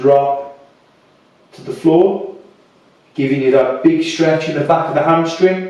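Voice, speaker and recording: At a very slow pace, a man with a British accent speaks in a fairly high pitch, with noticeable background noise and audible room echo. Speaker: fitness instructor. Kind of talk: guided workout instruction. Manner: soft-spoken; calm, relaxed.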